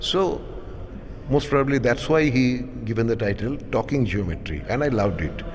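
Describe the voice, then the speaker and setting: A man's medium-pitched voice at a moderate pace, with lively intonation over noticeable background noise. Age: 60s. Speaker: artist. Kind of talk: interview. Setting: art gallery.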